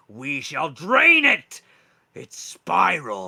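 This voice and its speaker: A man uses a put-on character voice. It comes out gruff and growling. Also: fairly high pitch for a man. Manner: repetitive, fixated.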